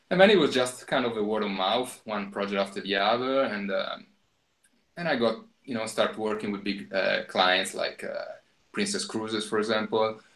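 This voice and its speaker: Speaking in an Italian accent, a man uses a medium pitch with ordinary pitch variation at a moderate pace. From Italy. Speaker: filmmaker. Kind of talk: interview. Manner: halting, many fillers.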